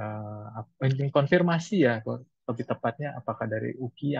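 Somewhat breathy voice in a dry sound with no echo. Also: man, quiet background. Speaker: moderator. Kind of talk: webinar moderation. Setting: video call. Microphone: video call.

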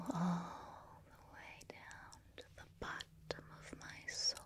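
Whispering at a very slow pace, a soft-spoken woman sounds breathy over noticeable background noise. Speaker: ASMR creator. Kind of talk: soft-spoken affirmations to the viewer. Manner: soft, breathy whispered gratitude.

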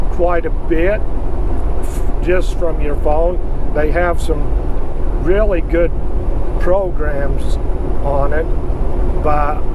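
A man at a very slow pace with long, frequent pauses, dry sound with no echo, and loud background noise. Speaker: truck driver vlogger. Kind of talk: casual vlog chat. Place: car. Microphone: camera far.

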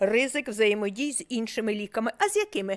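The sound is dry and close, with no echo. A woman speaks at a moderate pace. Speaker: medical professor. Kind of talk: medical lecture.

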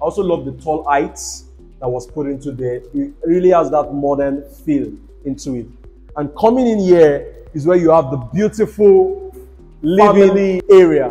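A man's voice swings widely in loudness over faint music in the background. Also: moderate pace. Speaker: real estate tour host. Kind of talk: property tour commentary. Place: home room. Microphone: lapel.

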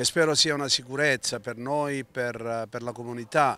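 A man speaks at a medium pitch with a bright, sharp tone. His intonation is fairly even, and the sound is dry with no echo. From Calabria, Italy. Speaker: teacher and community association member; teacher. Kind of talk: interview. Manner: halting, many fillers. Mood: solemn, earnest. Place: street. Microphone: handheld.

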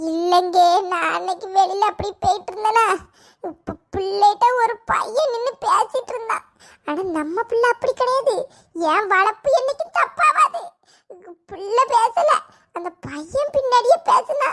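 A woman performs a cartoonish character voice at an extremely high pitch. She speaks at a fairly slow pace with lively intonation. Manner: melodramatic, wailing.

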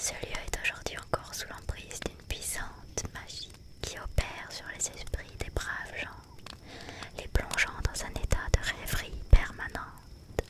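Whispering and soft-spoken, a woman talks at a very slow pace against loud background noise. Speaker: storyteller. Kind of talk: reading a story aloud. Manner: soft whispered storytelling.

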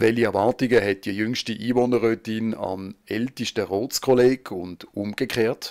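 A man with an unremarkable speaking voice talks at a fairly slow pace with fairly even intonation. He leaves hardly any pauses on a very clean recording with a silent background. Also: medium pitch for a man, dry, close sound with no echo. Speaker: local TV reporter. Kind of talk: news narration.

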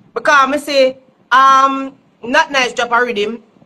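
A woman talks with a Jamaican accent. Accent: Jamaican Patois-inflected English. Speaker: dancehall artist. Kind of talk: casual chat. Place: home room. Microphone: phone near.

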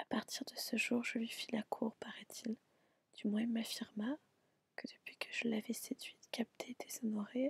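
The text is read in an unforced reading voice. Its intonation stays fairly even.

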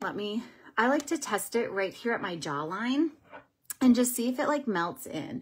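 A woman speaks at a fairly slow pace with a fairly high pitch. Her voice makes very wide pitch swings. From Minnesota. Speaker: beauty vlogger and makeup seller; beauty vlogger, makeup seller. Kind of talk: casual livestream makeup tutorial. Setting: live video stream at home. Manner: chatty, with frequent um fillers. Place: home room. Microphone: phone near.

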